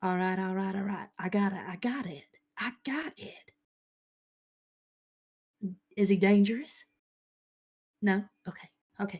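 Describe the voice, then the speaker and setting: In a put-on character voice, a female-sounding speaker uses a husky, medium-pitched tone at a moderate pace. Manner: faint, as if heard from outside.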